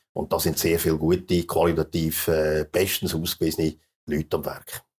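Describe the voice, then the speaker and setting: This is a man talking. His pace is moderate. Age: 60s. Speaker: entrepreneur and author. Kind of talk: interview. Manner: halting, many fillers.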